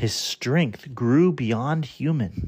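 The delivery carries a dramatic, warm tone in a very clean recording with a silent background. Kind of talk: children's story audiobook narration, scripted and read aloud. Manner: warm, animated storyteller with playful, wry emphasis on the jokes; clear, steady, measured pacing with dramatic build at reveals.

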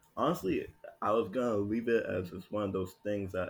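Somewhat breathy, a man with an American accent speaks at a moderate pace. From Miami, Florida. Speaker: student. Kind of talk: casual chat.

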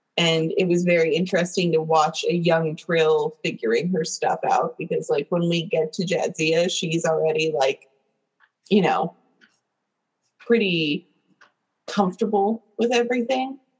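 A woman speaks at a fairly slow pace in a somewhat breathy, fairly low voice with ordinary pitch variation. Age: 30s. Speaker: podcast co-host. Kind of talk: casual chat. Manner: animated.

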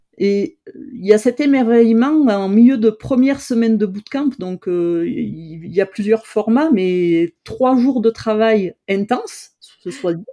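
This woman has a fairly high pitch and a dark, mellow tone with lively intonation. She talks at a very slow pace with hardly any pauses. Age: 50s. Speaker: no-code trainer. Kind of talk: interview.

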